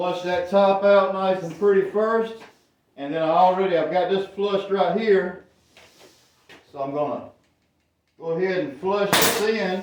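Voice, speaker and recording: A loud, high-pitched man at a fairly slow pace, with long, frequent pauses and audible room echo. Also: ordinary pitch variation. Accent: Southern US. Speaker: woodworking youtuber. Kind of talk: tutorial. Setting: workshop.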